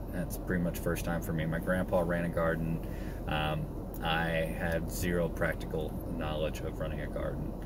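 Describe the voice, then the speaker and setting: Loud background noise surrounds a man speaking at a moderate pace, with the voice itself dry and free of echo. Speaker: homesteading vlogger. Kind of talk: casual vlog chat. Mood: reflective, personal. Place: car. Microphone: phone near.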